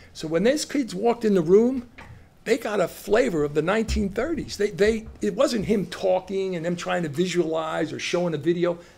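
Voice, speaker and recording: A man with a New Jersey accent, high-pitched, lively in intonation, at a moderate pace. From Long Branch, New Jersey. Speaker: retired educator and school administrator. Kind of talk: interview answer. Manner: casual storytelling.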